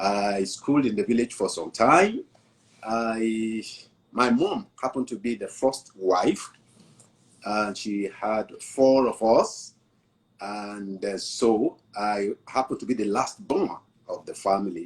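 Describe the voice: This man's voice is fairly low in pitch with a slightly husky edge. He talks slowly, yet his intonation is lively.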